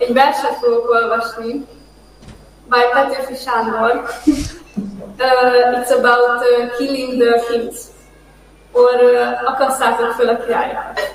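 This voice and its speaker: Monotone, flat intonation at a fairly slow pace, with long, frequent pauses and audible room echo. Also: woman, high pitch for a woman. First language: Hungarian. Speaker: participant reading poems. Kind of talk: reading aloud.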